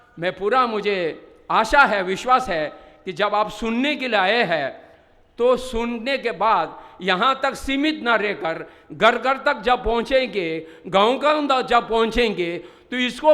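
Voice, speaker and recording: In a raised, projected voice, a man speaks at an extremely high pitch. His intonation is lively. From Ladakh, India. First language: Bodhi (Ladakhi/Tibetan) (speaking Hindi). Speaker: Buddhist religious teacher. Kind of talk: conference speech. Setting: stage with audience.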